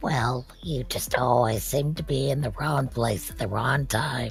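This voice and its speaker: Putting on a raspy character voice at a medium pitch, a man speaks at a moderate pace with clear music in the background. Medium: actual play. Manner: dry, measured.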